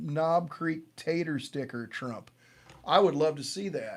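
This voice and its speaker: This is a man with an American accent. His voice sits fairly high in pitch. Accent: semi-Southern. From Missouri, US. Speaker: bourbon livestream host. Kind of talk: casual chat. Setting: live stream. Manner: animated.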